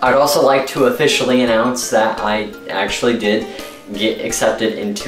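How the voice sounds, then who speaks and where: Music plays in the background as a man talks at a moderate pace with ordinary pitch variation and audible room echo. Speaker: vlogger. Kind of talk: casual vlog chat. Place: home room.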